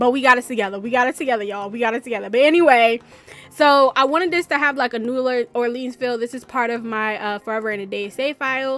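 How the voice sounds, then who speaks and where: A woman talks loudly at a very fast pace, her pitch high and its variation ordinary. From New York, raised by southern US family. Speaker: gaming YouTuber. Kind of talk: voiceover commentary. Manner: casual, rambling with many fillers.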